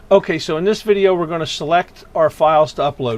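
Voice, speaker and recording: A man's voice with ordinary pitch variation. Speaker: photography teacher. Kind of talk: screen-recorded tutorial. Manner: hesitant, filler words; slow, deliberate.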